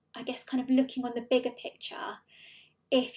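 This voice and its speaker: A dark, mellow tone moves at a fairly quick pace in a British accent. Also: woman. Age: 20s. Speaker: pelvic health physiotherapist. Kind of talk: interview.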